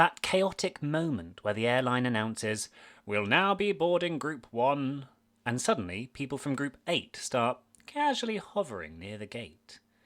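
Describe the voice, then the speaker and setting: Lively intonation and a moderate pace mark this speech with a British accent, captured on a very clean recording with a silent background. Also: man. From Britain. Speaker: podcast host, former maths teacher. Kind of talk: scripted podcast narration.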